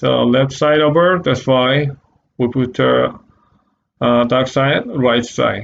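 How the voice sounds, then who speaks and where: A man with a Korean accent speaks at a very slow pace, with long, frequent pauses. His medium-pitched voice holds very even loudness and fairly even intonation. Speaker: art teacher. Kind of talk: tutorial. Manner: halting.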